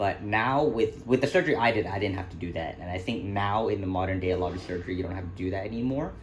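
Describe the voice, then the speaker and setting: Audible room echo surrounds a man talking at a very fast pace. His fairly low pitch shows ordinary pitch variation. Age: 30s. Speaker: YouTuber. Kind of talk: Q&A vlog. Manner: casual, hesitant with fillers.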